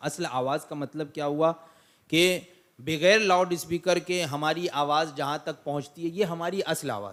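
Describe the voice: A man speaks at a moderate pace with few pauses, in a fairly high, fairly bright voice. His pitch varies in an ordinary way.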